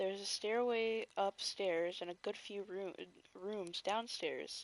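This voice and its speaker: A soft-spoken woman talks at a moderate pace. The sound is dry and close, with no echo. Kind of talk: read story. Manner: soft-spoken, relaxing.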